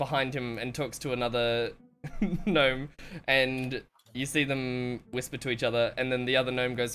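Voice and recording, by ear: Fairly even intonation carries someone reading aloud in a natural voice.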